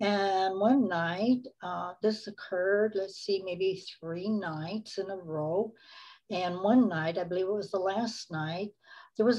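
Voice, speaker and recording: This woman's tone is dark and mellow, and she speaks at a fairly slow pace with ordinary pitch variation. Behind her the background stays quiet. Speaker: interview guest. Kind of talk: interview answer. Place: home room. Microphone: video call.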